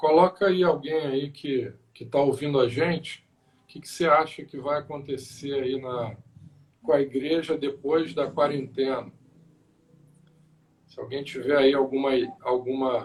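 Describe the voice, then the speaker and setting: A man with a fairly high pitch talks at a fairly slow pace with fairly even intonation. His loudness swings widely, and he takes long, frequent pauses. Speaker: pastor. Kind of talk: casual chat. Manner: soft-spoken.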